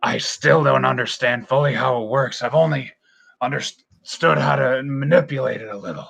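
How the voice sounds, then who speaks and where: In a raspy, put-on character voice, a man speaks at a moderate pace with a medium pitch. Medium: actual play. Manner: casual, rambling, halting.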